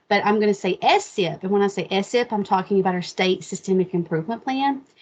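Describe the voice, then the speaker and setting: Delivered at a very fast pace, the voice carries a slight Appalachian accent. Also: woman, medium pitch for a woman, ordinary pitch variation. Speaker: state education specialist. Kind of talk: webinar presentation. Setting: online video meeting. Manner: casual, with many fillers.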